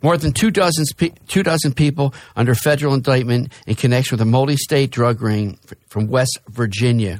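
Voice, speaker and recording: Speaking at a moderate pace and a medium pitch, a man with an American accent has an ordinary speaking voice. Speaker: radio host. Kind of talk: casual radio talk. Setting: studio.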